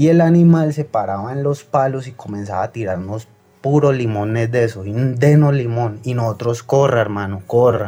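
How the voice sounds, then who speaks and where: Moving at a moderate pace, a man speaks in a dark, mellow tone. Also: medium pitch for a man, ordinary pitch variation. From Colombia, Tolima (Ambalema). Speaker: caller. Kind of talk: phone-in story.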